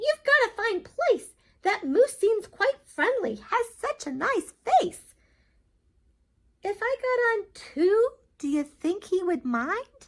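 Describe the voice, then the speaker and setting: A woman uses a squeaky put-on character voice at an extremely high pitch, speaking at a fairly slow pace. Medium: read story.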